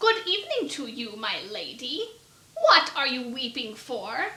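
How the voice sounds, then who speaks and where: A woman's put-on character voice, high in pitch, fairly slow, with very wide pitch swings. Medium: read story. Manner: sly, bargaining.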